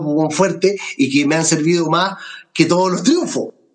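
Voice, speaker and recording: Here a man speaks with a Chilean accent at a moderate pace. His pitch is high, with ordinary variation. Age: 60s. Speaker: comedian. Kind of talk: casual chat.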